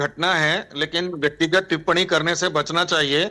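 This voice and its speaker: Here a man speaks at a high pitch in a bright, sharp tone. His intonation is monotone and flat. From north India, Ganges region. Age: 60s. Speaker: panelist. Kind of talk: heated debate.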